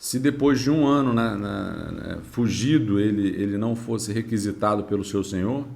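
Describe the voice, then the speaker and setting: Moderate pace and medium pitch from a male speaker, with audible room echo in the space. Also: ordinary pitch variation, hardly any pauses. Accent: Brazilian. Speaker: history teacher. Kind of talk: lecture.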